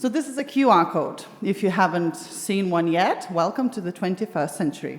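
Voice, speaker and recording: Over noticeable background noise, a woman with a Lithuanian accent speaks at a moderate pace, her pitch swinging very widely. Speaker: discussion moderator. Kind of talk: panel discussion moderation. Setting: stage with live audience at arts venue.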